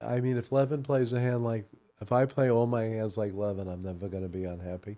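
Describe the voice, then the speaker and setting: A very fast man's voice in an American accent, medium in pitch, dark and mellow in tone, with ordinary pitch variation. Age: 70s. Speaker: bridge commentator. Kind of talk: live commentary.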